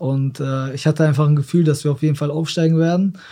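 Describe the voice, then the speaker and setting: A man's somewhat breathy, fairly high voice, dark and mellow in tone, with monotone, flat intonation. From Germany, Osnabrück. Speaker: professional footballer. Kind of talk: casual interview.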